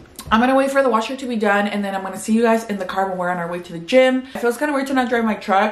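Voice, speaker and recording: With light background noise and audible room echo, a woman talks with ordinary pitch variation. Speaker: vlogger. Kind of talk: casual vlog chat. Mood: upbeat, chatty. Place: home room. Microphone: phone near.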